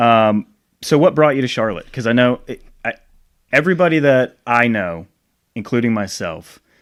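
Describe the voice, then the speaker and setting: In a very clean recording with a silent background, a man with an American accent talks at a moderate pace with lively intonation and long, frequent pauses. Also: medium pitch for a man. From Rhode Island, US Northeast. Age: 30s. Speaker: podcast host. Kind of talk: casual interview chat. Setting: home recording.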